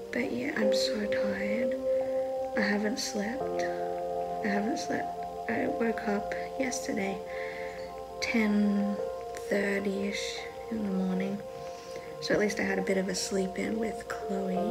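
Against loud background music, a woman speaks at a fairly slow pace with long, frequent pauses. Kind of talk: casual vlog chat. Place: home room. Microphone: phone near.

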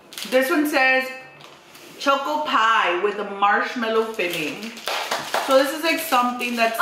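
A high-pitched woman's voice with lively intonation at a fairly slow pace, amid noticeable background noise and audible room echo. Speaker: mother hosting a family video. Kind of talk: casual vlog chat. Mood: cheerful, upbeat. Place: home room.

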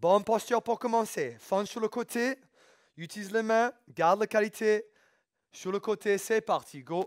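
In a non-native accent, a man speaks high-pitched and energetic at a fairly slow pace. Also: ordinary pitch variation, quiet background. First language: English (speaking French). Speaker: fitness coach. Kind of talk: workout instruction. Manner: energetic, motivating. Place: gym.

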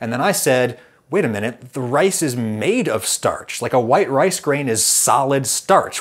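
A man with a plain, everyday voice and a General American accent, medium in pitch, with lively intonation at a moderate pace. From United States. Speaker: food video creator. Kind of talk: scripted narration.

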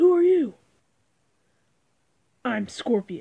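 A put-on character voice, female-sounding and raspy, sits at a high pitch with very wide pitch swings. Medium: cartoon. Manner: demanding, then menacing.

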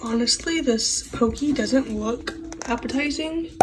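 A woman with a high pitch talks at a very slow pace in a relaxed tone. Noticeable background noise runs behind her. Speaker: lifestyle vlogger. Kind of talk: casual vlog talk. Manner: chatty, relaxed.

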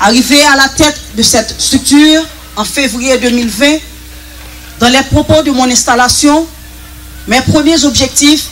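Fairly even intonation at a moderate pace over light background noise. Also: woman. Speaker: police official. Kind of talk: formal ceremony speech. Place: hall. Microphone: handheld.

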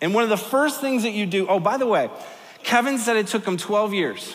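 A man talks at a high pitch with a fairly bright tone. Audible room echo surrounds his voice. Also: lively intonation, fairly quick pace.

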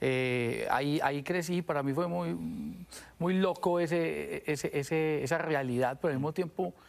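A man's fairly high voice carries ordinary pitch variation as he talks at a moderate pace. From Colombia, Medellín. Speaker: musician; guest. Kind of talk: TV interview. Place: studio. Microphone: lapel.

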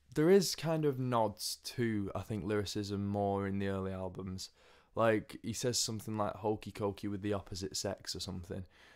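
With an English accent, a man of fairly low pitch speaks at a moderate pace with ordinary pitch variation over a quiet background. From England. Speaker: music video blogger. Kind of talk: casual opinion monologue. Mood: relaxed, opinionated. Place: home room. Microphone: studio mic.

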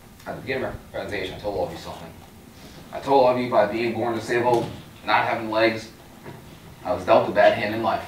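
Very fast but with long, frequent pauses, a man with an American accent speaks at medium pitch with big swings in loudness, amid audible room echo and light background noise. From Long Island, New York. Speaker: youth motivational speaker. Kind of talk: motivational pep talk to a university audience. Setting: stage with audience. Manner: earnest, emphatic, direct; upbeat, inspiring, warmly humorous. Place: hall.

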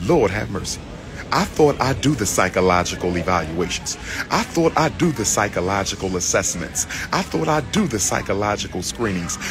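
A man with a fairly low pitch speaks at a moderate pace with very wide pitch swings. Music plays in the background. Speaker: commentator traveling. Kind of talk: casual vlog chat. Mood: indignant, mocking. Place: station. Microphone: phone near.

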